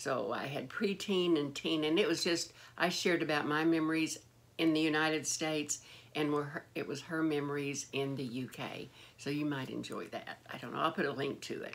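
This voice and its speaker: The female speaker talks at moderate speed, her pitch very deep and low. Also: fairly even intonation. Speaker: beauty vlogger. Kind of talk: casual vlog chat. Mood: warm nostalgic. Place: home room. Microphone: phone near.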